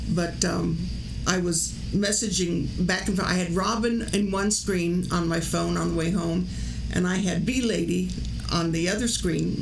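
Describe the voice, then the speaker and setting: Noticeable background noise sits under the recording. The woman talking keeps a moderate pace. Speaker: livestream host. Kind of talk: casual livestream chat. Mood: concerned, a bit amused. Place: home room. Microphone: studio mic.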